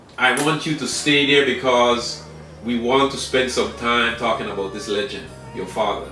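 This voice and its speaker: With music playing in the background, a man talks at a moderate pace in a medium pitch with ordinary pitch variation. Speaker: interview show host. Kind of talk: talk show interview questions.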